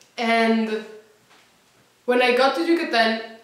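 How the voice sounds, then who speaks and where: The room's echo can be heard clearly. Her delivery, as a woman, comes at a fairly unhurried speed. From Colombia. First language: Spanish. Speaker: former language program student. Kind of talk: testimonial. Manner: halting, with repeated words.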